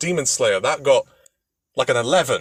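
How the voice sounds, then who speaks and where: A man with a British accent, in a dry, close sound with no echo. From Britain. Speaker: podcast guest discussing film ratings. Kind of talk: casual chat.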